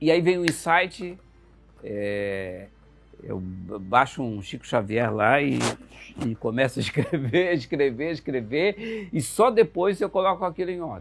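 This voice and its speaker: A fairly high-pitched man's voice at a fairly slow pace, with very wide pitch swings. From Santa Catarina midwest, Brazil (Joaçaba). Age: 60s. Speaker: writer and journalist. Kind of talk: interview. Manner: hesitant, many fillers.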